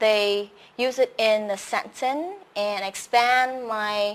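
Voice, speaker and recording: A woman's medium-pitched voice with a Vietnamese accent, very slow in pace, with ordinary pitch variation, on a very clean recording with a silent background. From Vietnam, Saigon. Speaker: English teacher and host. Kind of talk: live stream self-introduction. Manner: hesitant, many fillers.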